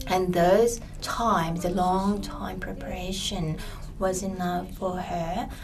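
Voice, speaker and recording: Over noticeable background noise, a woman with a Japanese accent talks very slowly at a medium pitch in a monotone, flat intonation. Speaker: interpreter. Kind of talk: consecutive interpreting.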